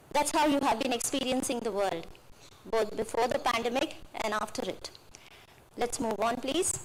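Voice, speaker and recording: In a room with audible echo, a woman talks at a moderate pace in a high pitch, with ordinary pitch variation and long, frequent pauses. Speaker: lecturer speaking at MBA inauguration. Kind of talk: lecture. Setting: auditorium with audience.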